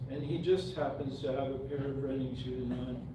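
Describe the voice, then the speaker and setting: Speaking at a moderate pace with an American accent, a man with a fairly high voice is heard with audible room echo and noticeable background noise. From Montana. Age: 70s. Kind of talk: reading aloud.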